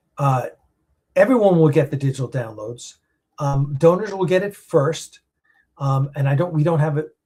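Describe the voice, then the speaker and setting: Somewhat breathy, a man talks at a moderate pace with ordinary pitch variation. He leaves long, frequent pauses. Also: fairly high pitch for a man. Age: 60s. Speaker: independent film producer. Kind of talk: live stream chat answering viewer comments. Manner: halting, many fillers.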